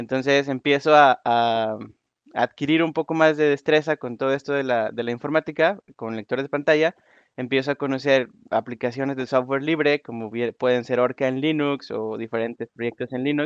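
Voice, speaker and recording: A man's normal speaking voice: medium pitch, fairly even intonation, moderate pace, a dry, close sound with no echo, and a quiet background. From Mexico, Nuevo León. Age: 20s. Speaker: software developer. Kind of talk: conference talk. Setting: online voice conference room.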